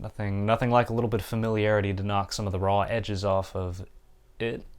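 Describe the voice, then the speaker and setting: In a monotone, flat intonation, the words pour out very fast. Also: man, fairly low pitch for a man. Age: 20s. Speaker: graduate student and vlogger. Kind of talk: personal vlog monologue. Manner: hesitant, many fillers.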